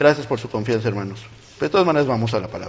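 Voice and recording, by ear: A man talks at a very fast pace with medium pitch and lively intonation.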